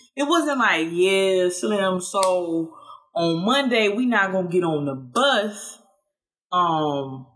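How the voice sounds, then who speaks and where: A woman talks with very wide pitch swings. Audible room echo surrounds her voice. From US South, Georgia (Statesboro). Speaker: podcast host. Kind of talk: casual monologue.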